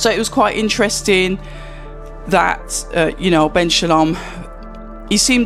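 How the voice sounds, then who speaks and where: With music playing behind him, a man talks at a moderate pace in a high voice with ordinary pitch variation. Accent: Birmingham. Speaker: boxing commentator. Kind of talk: casual talk to camera.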